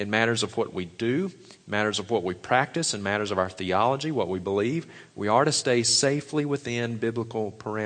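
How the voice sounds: Reading in a natural reading voice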